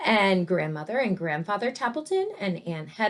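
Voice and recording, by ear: Natural-voiced reading aloud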